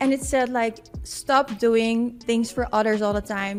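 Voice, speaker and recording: Over noticeable background noise, a woman with a Dutch accent speaks at a fairly high pitch. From Netherlands, Amsterdam. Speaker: wellness coach. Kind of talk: interview. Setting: studio.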